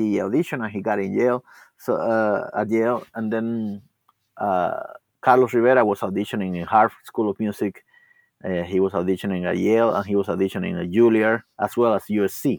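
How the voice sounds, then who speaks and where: A man with a Spanish accent speaks at a fairly low pitch and a fairly quick pace, with ordinary pitch variation. The recording is very clean, with a silent background and a dry, close sound with no echo. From Cuba. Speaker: classical guitarist and teacher. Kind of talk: interview. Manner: halting.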